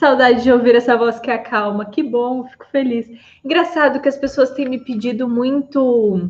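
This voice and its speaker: Her intonation stays fairly even as the woman talks at a fairly slow pace. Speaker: psychologist. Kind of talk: live stream talk. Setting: live stream on Instagram and YouTube.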